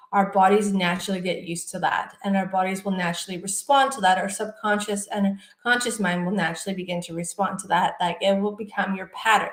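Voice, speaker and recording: A woman rattles along at a very fast pace in a medium pitch, with fairly even intonation but big swings in loudness. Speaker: clinical hypnotherapist and meditation guide. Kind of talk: guided sleep meditation / self-hypnosis talk.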